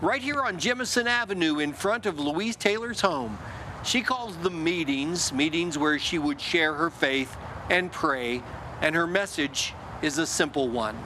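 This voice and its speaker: Lively intonation carries this moderate-paced speech over noticeable background noise. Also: man. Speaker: TV news reporter. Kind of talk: TV news feature narration.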